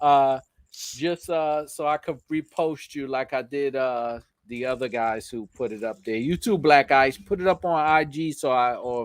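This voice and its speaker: A man speaks with a New York accent and an animated tone. His pitch varies in an ordinary way over a quiet background. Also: fairly high pitch for a man, moderate pace. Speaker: YouTuber, motorcycle channel host. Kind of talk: live stream chat. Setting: live stream. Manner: casual, animated.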